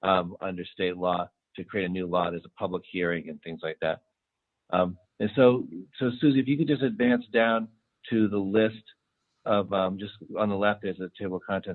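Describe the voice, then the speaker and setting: At a moderate pace, a man speaks in a fairly low voice with ordinary pitch variation, big swings in loudness and long, frequent pauses. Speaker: city official presenting police reform recommendations. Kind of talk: public meeting presentation. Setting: in-person committee meeting. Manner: hesitant, many fillers.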